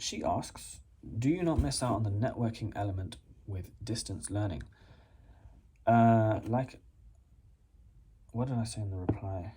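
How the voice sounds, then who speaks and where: A man's fairly low, somewhat breathy voice in an English accent, dark and mellow in tone, fairly slow with ordinary pitch variation and long, frequent pauses. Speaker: postgraduate student and YouTuber. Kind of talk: casual vlog response to a viewer question. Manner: casual, hesitant with many fillers.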